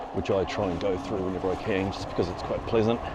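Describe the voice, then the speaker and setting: A man's fairly low, monotone, flat voice in a New Zealand accent at a fairly quick pace, with noticeable background noise and audible room echo. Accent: New Zealand (Kiwi). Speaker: cycling vlogger. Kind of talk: ride-along narration. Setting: outdoors on a bike. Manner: casual, conversational.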